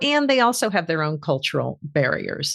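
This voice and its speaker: In a quiet background, a woman speaks at a fairly slow pace, her pitch moving in very wide swings. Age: 60s. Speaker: author and executive coach. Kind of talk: interview. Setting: podcast interview.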